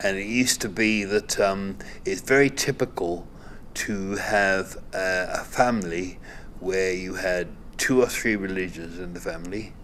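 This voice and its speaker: A man with a Cardiff accent, fairly low pitch, ordinary pitch variation and a fairly slow pace. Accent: Cardiff Welsh English. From Cardiff, Wales (Butetown). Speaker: former local resident. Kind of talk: documentary interview.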